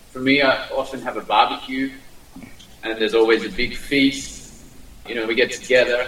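A man speaks with an Australian accent at medium pitch and a moderate pace, his intonation fairly even. He leaves long, frequent pauses over noticeable background noise. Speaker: diplomat. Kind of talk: interview. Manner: halting.

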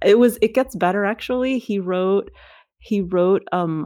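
A woman speaks at medium pitch with ordinary pitch variation, in an unremarkable speaking voice. The recording is very clean, with a silent background. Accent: American. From Queens, New York and Cyprus. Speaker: English professor and essayist. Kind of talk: interview conversation.

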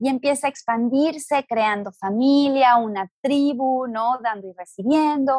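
A woman with a high pitch speaks at a fairly slow pace with ordinary pitch variation, hardly any pauses and very even loudness. The recording is dry and close, with no echo. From Mexico, Guadalajara. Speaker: astrologer and spiritual teacher. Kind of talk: interview conversation.

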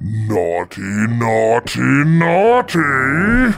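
Loud and at medium pitch, a man performs a put-on character voice. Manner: bellowing, gleeful.

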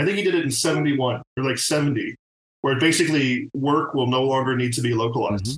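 A man speaks at a medium pitch with ordinary pitch variation, somewhat breathy. The sound is dry and close, with no echo. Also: fairly quick pace. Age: 50s. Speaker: TV art director. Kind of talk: casual chat.

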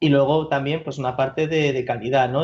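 Somewhat breathy and fairly quick, the voice carries a fairly even intonation. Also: man. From Spain, Madrid. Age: 20s. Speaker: tech company product manager. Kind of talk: interview.

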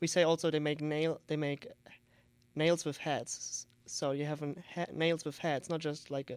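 Spoken at a moderate pace with a German accent, the voice comes through on a very clean recording with a silent background. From Germany, Saarland. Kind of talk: interview. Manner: halting.

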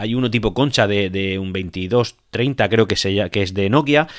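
A man talks with lively intonation. The recording is very clean and the background silent. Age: 30s. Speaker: tech podcaster. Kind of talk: solo podcast monologue. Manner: hesitant, many repetitions and fillers.

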